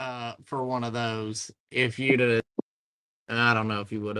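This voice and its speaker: In a Southern US accent, a man talks fairly slowly at a medium pitch with fairly even intonation and a bright, sharp tone, recorded very cleanly over a silent background. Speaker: antiques dealer. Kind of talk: live sale.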